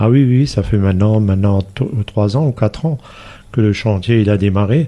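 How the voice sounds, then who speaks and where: A man talks at a fairly low pitch in a dark, mellow tone. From Alsace, near Saverne, farm upbringing. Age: 60s. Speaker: village mayor. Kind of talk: radio interview. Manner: hesitant, many fillers.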